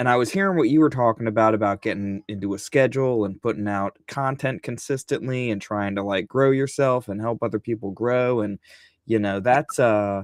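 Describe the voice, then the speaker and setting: A fairly quick pace, ordinary pitch variation and an American accent on a very clean recording with a silent background. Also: man, medium pitch for a man, dry, close sound with no echo. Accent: Southern, varies. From Virginia. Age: 50s. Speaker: comic book creator. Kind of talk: casual chat.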